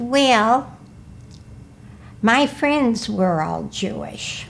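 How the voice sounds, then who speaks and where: With an American accent, a woman of medium pitch speaks at a very slow pace. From US Midwest, Milwaukee, Wisconsin. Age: 80s+. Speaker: senior interviewee, oral history. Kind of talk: oral history interview.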